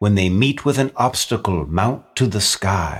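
The delivery is theatrical and warm in tone. The recording is very clean, with a silent background. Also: man. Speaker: narrator. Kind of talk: dramatic narration of a Christmas poem, traded line by line with a co-reader. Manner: theatrical, warm storyteller's cadence with rhythmic, sing-song emphasis.

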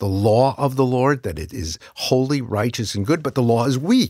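In a very clean recording with a silent background, a man with a plain, everyday voice and an American accent speaks at a medium pitch and a moderate pace with lively intonation. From US Northeast, New York City. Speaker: pastor. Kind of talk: interview.

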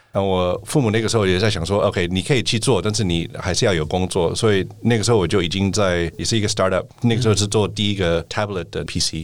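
Pitched fairly low, a man speaks very fast with hardly any pauses. His pitch varies in an ordinary way. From United States. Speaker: venture capital partner. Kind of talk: interview.

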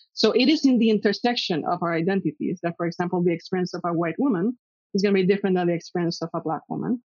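A woman's medium-pitched voice races along at a very fast clip. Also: ordinary pitch variation. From Puerto Rico. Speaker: psychology professor. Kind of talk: interview. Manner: halting, many fillers.

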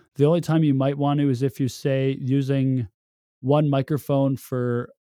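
A man speaks at a medium pitch with a dark, mellow tone. The recording is very clean and dry, close-miked with no echo and a silent background. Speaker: audio engineer and podcaster. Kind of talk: tutorial.

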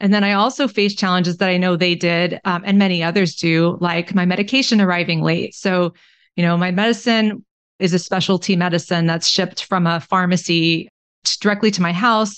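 In an American accent, a woman with a plain, everyday voice speaks at medium pitch with fairly even intonation and very even loudness against a quiet background. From Texas (Austin). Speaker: family physician and author. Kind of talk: interview.

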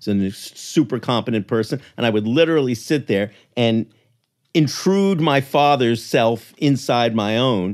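An unremarkable speaking voice from a man at medium pitch, with ordinary pitch variation and a fairly slow pace, on a very clean recording with a silent background. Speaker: writer and author. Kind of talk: casual interview chat.

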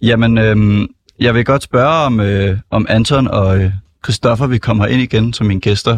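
The voice is somewhat breathy and moves at a fairly slow pace. The sound is dry and close with no echo, over a quiet background. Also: man. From Copenhagen, Denmark. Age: 20s. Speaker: student stand-in radio host. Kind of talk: casual radio chat. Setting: radio studio.

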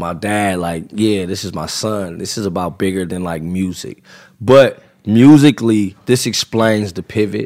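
In an American accent, this unremarkable speaking voice shows big swings in loudness and ordinary pitch variation on a very clean recording with a silent background. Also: man, fairly low pitch for a man, fairly slow pace. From California, Los Angeles area (Compton). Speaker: rapper. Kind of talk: casual chat. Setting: studio.

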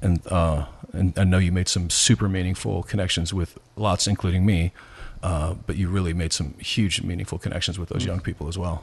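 A man with an American accent speaks at a fairly quick pace in a very deep, low voice, somewhat breathy, against a quiet background. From US Midwest, rural Nebraska. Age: 50s. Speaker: pastor. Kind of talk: casual interview.

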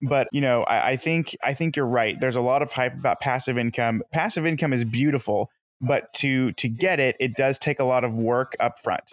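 In an ordinary speaking voice at medium pitch, a man talks at a moderate pace with fairly even intonation, very even loudness and hardly any pauses. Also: dry, close sound with no echo. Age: 20s. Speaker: real estate investor and insurance salesman. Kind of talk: interview.

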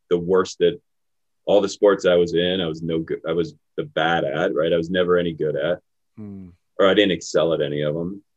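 A man with an American accent talks fairly quickly in a very deep, low voice with ordinary pitch variation. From Pittsburgh, US. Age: 40s. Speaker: retired navy special forces officer. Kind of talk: casual interview conversation.

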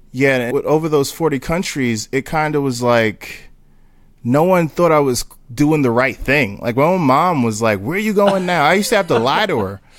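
A man with an American accent speaks at a moderate pace in a fairly high pitch, a normal speaking voice with lively intonation. The recording is very clean, with a silent background. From Newark, New Jersey. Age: 30s. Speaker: street photographer. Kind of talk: casual interview chat.

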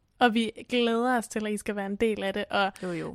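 A woman speaks in a plain, everyday voice at medium pitch. Her intonation stays fairly even and her pace is moderate. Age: 30s. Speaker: podcast co-host. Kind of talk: casual chat.

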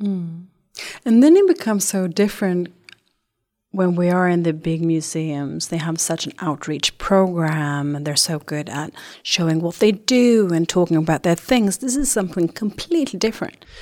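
With a dark, mellow tone and fairly low pitch, a woman speaks at a moderate pace with ordinary pitch variation. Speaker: podcast interviewer. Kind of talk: casual interview.

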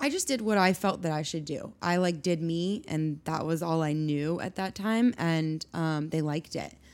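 A woman with an American accent speaks at a moderate pace in a plain, everyday voice. Her fairly low pitch shows ordinary variation. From Colorado, US. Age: 30s. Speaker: bag designer and company co-founder. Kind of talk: interview.

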